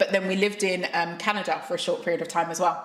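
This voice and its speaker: There is noticeable background noise. A woman's voice comes through over it. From London (Tottenham). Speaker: founder and coach. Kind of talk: casual interview chat.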